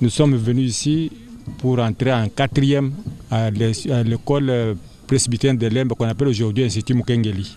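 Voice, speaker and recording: With music in the background, a man speaks at a moderate pace and medium pitch, his intonation fairly even and his loudness very even. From DR Congo (Kasai). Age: 60s. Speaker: school director. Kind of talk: interview. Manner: halting.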